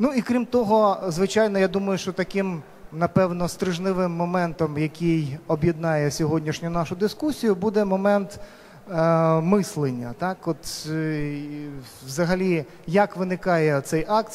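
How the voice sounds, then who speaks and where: A man with a high pitch and ordinary pitch variation speaks at a fairly slow pace. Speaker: panel moderator. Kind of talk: moderator introduction to a panel discussion. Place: hall. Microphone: handheld.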